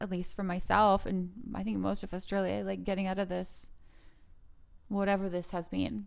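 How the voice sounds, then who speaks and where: A woman speaks at a moderate pace, leaving long, frequent pauses. The room echo is audible. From Canada, Vancouver Island (Victoria). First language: non-English. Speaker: podcast host. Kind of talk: casual chat. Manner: halting.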